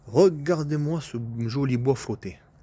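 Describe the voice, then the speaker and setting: A man's medium-pitched voice, dark and mellow in tone, with a southern French accent and ordinary pitch variation. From southern France. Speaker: landscape gardener and video maker. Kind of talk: casual tutorial video. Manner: casual, hesitant with fillers.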